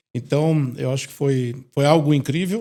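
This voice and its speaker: A man with a dark, mellow tone, fairly high-pitched, at a moderate pace. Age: 60s. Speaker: retired company president. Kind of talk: interview.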